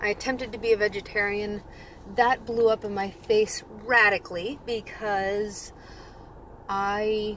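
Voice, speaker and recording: Speaking fairly slowly, a woman with an American accent holds a fairly high, flat, monotone pitch. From California. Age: 20s. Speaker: health coach. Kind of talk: casual vlog monologue. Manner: casual, with fillers and self-corrections.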